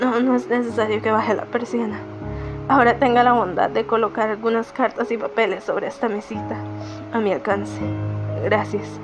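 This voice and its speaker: A woman's speech is broken by long, frequent pauses, with music in the background. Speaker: amateur narrator. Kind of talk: audiobook narration. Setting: home recording, poor microphone.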